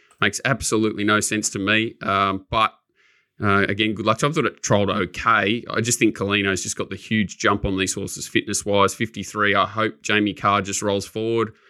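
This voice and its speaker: Over a quiet background, a man with an Australian accent talks at a fairly quick pace in a monotone, flat intonation. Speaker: racing podcast co-host. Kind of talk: casual chat.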